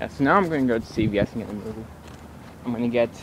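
A fairly quick pace with ordinary pitch variation, a dry sound with no echo, and noticeable background noise. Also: man. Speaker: vlogger. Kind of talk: casual vlog chat. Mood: giggly, playful. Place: street. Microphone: phone near.

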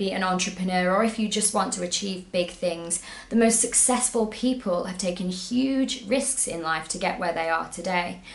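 In an upbeat tone, a woman of medium pitch talks at a moderate pace with hardly any pauses and ordinary pitch variation, amid audible room echo. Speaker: travel blogger and YouTuber. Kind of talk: motivational pep talk to camera, timed at 60 seconds. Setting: video recorded to camera, solo. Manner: upbeat, encouraging, earnest; brisk, timed, direct. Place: home room.

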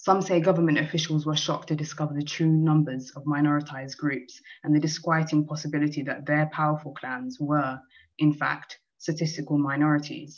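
Against a quiet background, a woman with a very deep, low pitch speaks at a fairly quick pace in a flat monotone. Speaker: poet. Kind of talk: poem reading. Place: home room. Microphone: video call.

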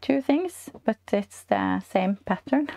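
A woman's dark, mellow voice at a very slow pace. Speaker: knitting podcast host. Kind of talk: casual vlog chat. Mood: warm, cheerful. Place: home room. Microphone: lapel.

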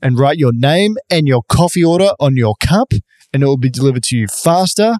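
The sound is dry and close, with no echo. A man with an Australian accent speaks at a moderate pace, his intonation lively. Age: 30s. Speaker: podcast co-host. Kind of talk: casual chat.

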